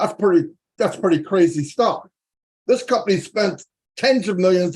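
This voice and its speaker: At a moderate pace, a man talks in an animated tone with a high pitch. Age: 60s. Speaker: business promoter. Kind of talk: motivational pitch.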